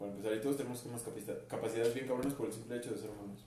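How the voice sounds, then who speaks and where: A man speaks with a Mexican accent. The room echo is audible, and there is noticeable background noise. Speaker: podcast co-host. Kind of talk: casual chat.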